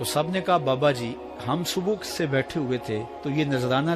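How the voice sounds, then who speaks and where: Music plays in the background behind a man. He has a fairly high pitch and lively intonation. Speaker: Islamic preacher. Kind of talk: Islamic sermon (bayan), emotional preaching to an audience. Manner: emotional, devotional.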